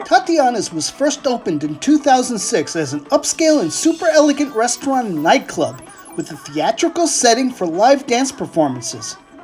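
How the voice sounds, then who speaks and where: A man's extremely high voice with very wide pitch swings, a moderate pace and hardly any pauses, music playing in the background. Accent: American. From United States. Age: 60s. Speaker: food vlogger. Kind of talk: scripted narration.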